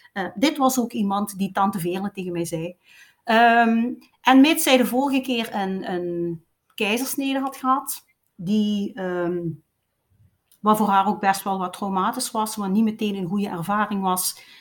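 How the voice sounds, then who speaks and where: The recording is very clean, with a silent background. A woman speaks at a fairly slow pace, her medium pitch showing ordinary variation. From Belgian Limburg. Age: 50s. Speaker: doula and breastfeeding consultant. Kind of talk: interview storytelling. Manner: lively, fluent storytelling.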